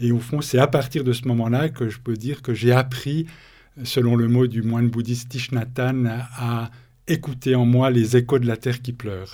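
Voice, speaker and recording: A man with a dark, mellow tone speaks at a fairly slow pace and medium pitch on a very clean recording with a silent background. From Switzerland, Bernese Jura. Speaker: author and thinker on ecospirituality. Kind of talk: interview.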